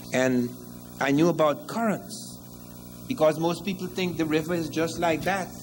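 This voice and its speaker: In a Guyanese accent, a man speaks at a moderate pace with ordinary pitch variation, and audible room echo surrounds him. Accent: Guyanese Caribbean English. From Guyana. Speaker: historian lecturer. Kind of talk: lecture.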